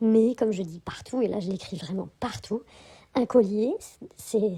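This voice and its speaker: The voice is somewhat breathy with a dark, mellow tone, moving at a fairly slow pace with lively intonation. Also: woman. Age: 40s. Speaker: spiritual vlogger. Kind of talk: casual vlog monologue. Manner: hesitant, many fillers.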